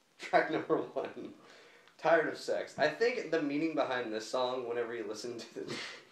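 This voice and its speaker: With audible room echo and noticeable background noise, a man speaks at a moderate pace with ordinary pitch variation. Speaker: music reviewer. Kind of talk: casual album review chat. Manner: halting, many fillers.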